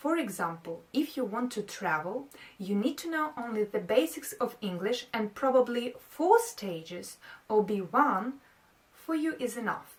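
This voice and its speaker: A woman talks at a fairly slow pace. Her fairly high voice moves in very wide pitch swings. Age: 30s. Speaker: English teacher. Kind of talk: review talk to camera.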